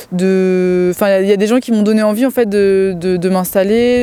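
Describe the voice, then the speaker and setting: A woman talks at a moderate pace with a medium pitch. Her intonation is fairly even. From Loir-et-Cher, Loire valley, France. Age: 30s. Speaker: dairy farmer. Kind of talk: interview testimony. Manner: hesitant, frequent fillers.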